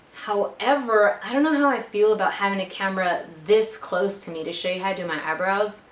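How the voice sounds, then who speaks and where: A woman at medium pitch with lively intonation and a fairly quick pace, hardly any pauses, audible room echo and noticeable background noise. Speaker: vlogger. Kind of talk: casual vlog Q&A. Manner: animated.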